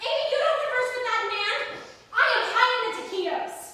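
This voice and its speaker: A woman's put-on character voice, squeaky and extremely high-pitched, at a fairly quick pace with ordinary pitch variation and a strong echo. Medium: stage play. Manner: dramatic, exasperated.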